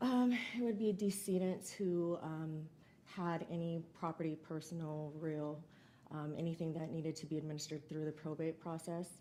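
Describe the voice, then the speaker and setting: A soft-spoken woman talks at a moderate pace. Her pitch is fairly low, with ordinary variation. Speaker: trial witness, county estate coordinator. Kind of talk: witness testimony. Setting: courtroom.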